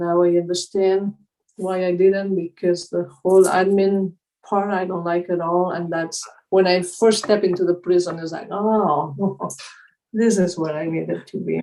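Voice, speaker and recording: A woman at a medium pitch with a dark, mellow tone, monotone, flat intonation and a moderate pace. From Spain. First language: Spanish. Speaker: mindfulness teacher. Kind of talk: interview conversation.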